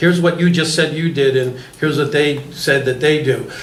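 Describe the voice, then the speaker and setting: Noticeable background noise and audible room echo accompany a man speaking with fairly even intonation. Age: 60s. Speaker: panel moderator. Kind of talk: panel discussion.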